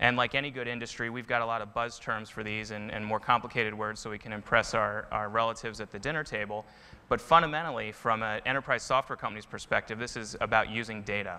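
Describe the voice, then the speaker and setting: A man's bright, sharp voice at a very fast pace with hardly any pauses. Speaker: presenter. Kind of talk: conference talk. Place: stage. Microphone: lapel.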